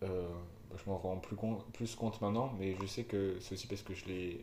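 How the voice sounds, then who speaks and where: There is audible room echo around a man with a fairly low pitch and a somewhat breathy voice. He keeps a moderate pace with ordinary pitch variation. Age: 20s. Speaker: podcast co-host, student. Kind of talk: casual chat. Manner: halting.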